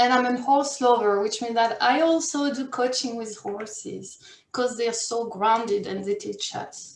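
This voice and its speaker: A woman speaks with a French accent. Her intonation is lively. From France or French-speaking region. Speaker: career and life coach. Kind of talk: workshop presentation.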